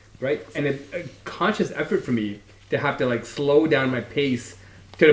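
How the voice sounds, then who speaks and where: A man at a fairly high pitch and moderate pace, ordinary pitch variation, amid noticeable background noise. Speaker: podcast co-host. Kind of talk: casual chat.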